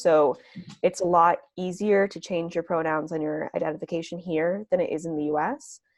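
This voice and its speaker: An unremarkable speaking voice from a woman with an American accent, fairly quick, over a quiet background. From Massachusetts, US. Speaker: oral history interviewee, recent graduate. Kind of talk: interview. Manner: casual, many filler words.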